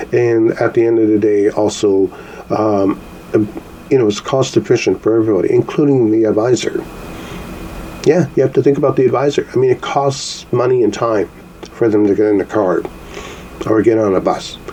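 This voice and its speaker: A man speaks at medium pitch and a moderate pace, with ordinary pitch variation and very even loudness. Long, frequent pauses break up his speech, and background noise is noticeable. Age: 60s. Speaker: podcast host, call center worker. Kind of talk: solo podcast commentary. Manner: casual, hesitant with fillers.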